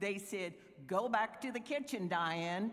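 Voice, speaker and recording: A woman with an American accent talks with lively intonation. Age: 70s. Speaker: environmental activist. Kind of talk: acceptance speech.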